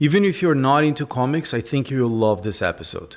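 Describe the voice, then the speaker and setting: The speaker has a Brazilian accent and lively intonation at a moderate pace, in a very clean recording with a silent background. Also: man. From Brazil (south). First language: Portuguese. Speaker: podcast host, photographer. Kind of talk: scripted intro then interview.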